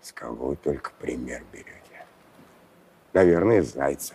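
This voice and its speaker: Putting on a character voice, a man speaks at a moderate pace with a raspy, very deep, low pitch. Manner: gruff, blustering, threatening.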